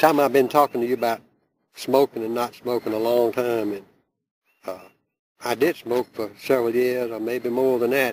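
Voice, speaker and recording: With a Southern US accent, a man talks at a medium pitch using fairly even intonation and long, frequent pauses. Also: moderate pace. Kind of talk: oral history storytelling.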